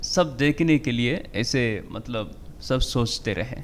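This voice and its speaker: A man with ordinary pitch variation. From Nigeria. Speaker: Hindi teacher and interpreter. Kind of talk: podcast interview. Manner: halting, many filler sounds.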